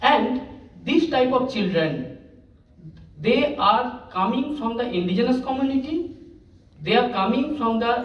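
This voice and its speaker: This man's voice sits at an extremely high pitch and moves at a moderate pace. Audible room echo surrounds it. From India, West Bengal (Asansol, rural). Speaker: teacher. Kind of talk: conference talk. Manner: halting.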